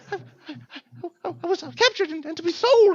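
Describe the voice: A put-on character voice with an extremely high pitch. It moves at a fairly quick pace.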